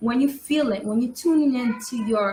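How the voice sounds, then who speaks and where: In a New York accent, a woman speaks with a fairly high pitch. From New York City. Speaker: tarot reader. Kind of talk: live-stream tutorial. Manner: casual, chatty.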